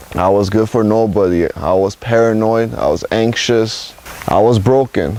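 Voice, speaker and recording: A man speaks over noticeable background noise. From Los Angeles, California. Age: 20s. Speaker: rehab program resident. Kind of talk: testimony.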